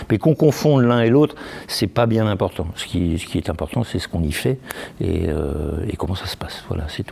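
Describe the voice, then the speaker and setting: Very deep and low, this man's voice has very wide pitch swings. He speaks at a fairly quick pace over noticeable background noise. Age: 60s. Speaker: association president. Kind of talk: interview. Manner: halting.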